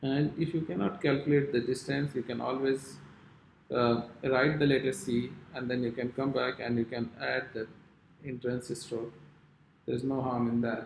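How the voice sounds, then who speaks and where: Speaking at a moderate pace, a man with an unremarkable speaking voice keeps a medium pitch and fairly even intonation. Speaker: calligraphy teacher. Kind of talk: tutorial.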